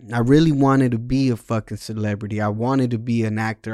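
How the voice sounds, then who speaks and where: In a Spanish accent, a dark, mellow voice with ordinary pitch variation moves at a moderate pace, recorded very cleanly over a silent background with a dry, close sound and no echo. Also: man. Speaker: podcast host. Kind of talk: casual monologue.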